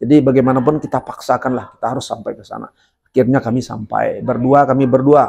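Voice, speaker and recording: A man talks at a very fast pace and a medium pitch. His tone is dark and mellow, with monotone, flat intonation. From Sungai Penuh, Jambi, Sumatra, Indonesia. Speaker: legislative candidate, former teacher. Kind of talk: podcast interview, personal storytelling.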